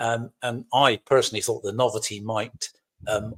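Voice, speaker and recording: A man with a Cornish accent speaks at a fairly slow pace. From Cornwall, England. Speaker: lodge officer, military veteran. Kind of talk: podcast interview.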